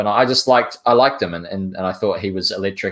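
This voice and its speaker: A man with a New Zealand accent talks at a fairly quick pace with fairly even intonation. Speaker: sports podcast host. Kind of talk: sports podcast discussion.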